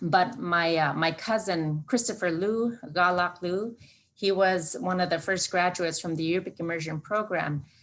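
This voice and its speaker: A woman speaks with an Alaskan accent at a moderate pace. Her pitch is fairly low, with ordinary variation. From southwest Alaska (Bethel). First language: Yup'ik. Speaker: Alaska Native corporation leader. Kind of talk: presentation. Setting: video call. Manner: halting, many fillers.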